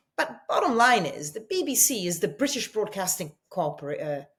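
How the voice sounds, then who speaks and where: Speaking at a moderate pace with a slight Italian accent, a woman's somewhat breathy voice moves through very wide pitch swings. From Italy. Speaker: journalist, TV news presenter. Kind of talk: interview answer.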